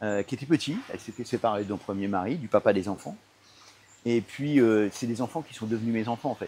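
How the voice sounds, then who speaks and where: The voice has a dark, mellow tone and ordinary pitch variation, moving at a fairly quick pace. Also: man, medium pitch for a man. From Paris suburbs, Seine-Saint-Denis, France. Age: 60s. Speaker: entrepreneur. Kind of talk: interview. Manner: hesitant, many fillers and repetitions.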